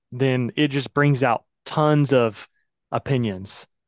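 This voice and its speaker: An unremarkable speaking voice carries an American accent. The pitch varies in an ordinary way. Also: man. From US South, Florida Panhandle (Pensacola). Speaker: marketing agency founder. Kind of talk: interview.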